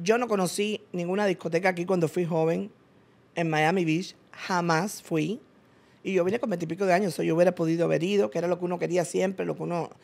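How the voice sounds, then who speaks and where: A woman talking at a very fast pace, fairly low in pitch, with fairly even intonation. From Cuba. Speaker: businesswoman; interview guest. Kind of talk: interview. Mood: earnest, reflective storytelling. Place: studio. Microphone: studio mic.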